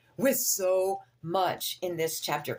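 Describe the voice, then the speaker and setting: A woman with a fairly low pitch speaks in an animated tone, with noticeable background noise behind her. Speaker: vlogger in addiction recovery. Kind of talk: casual vlog monologue.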